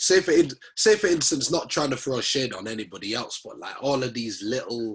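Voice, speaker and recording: A somewhat breathy man with a Leeds accent, medium-pitched and fairly quick, with very wide pitch swings and big swings in loudness. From northern England, Leeds. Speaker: rapper. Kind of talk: interview. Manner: casual, slangy.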